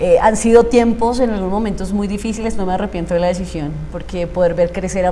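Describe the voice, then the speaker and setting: A woman talks at a very fast pace with ordinary pitch variation. The room echo is audible, and there is noticeable background noise. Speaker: emotional coach, former radio announcer. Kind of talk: interview testimony.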